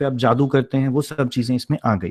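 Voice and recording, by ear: This man's voice is fairly high in pitch. Its tone is slightly mellow.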